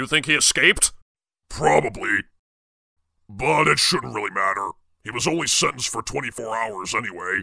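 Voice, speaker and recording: A man's put-on character voice at medium pitch. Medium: machinima. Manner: casual, offhand.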